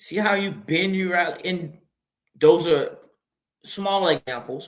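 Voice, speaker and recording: Spoken in an American accent, the voice has a bright, sharp tone, ordinary pitch variation and a fairly slow pace, with audible room echo. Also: man. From Mississippi, US South. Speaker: podcast host. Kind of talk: motivational monologue. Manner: repetitive, halting.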